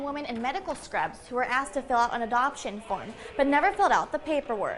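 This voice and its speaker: A high-pitched woman's voice at a very fast pace, with ordinary pitch variation and noticeable background noise. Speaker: news reporter and anchor. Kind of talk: TV news field report.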